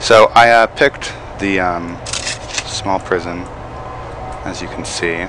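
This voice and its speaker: Noticeable background noise runs under this recording. A man speaks with a very deep, low pitch. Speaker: gaming let's play host. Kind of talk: casual gameplay commentary.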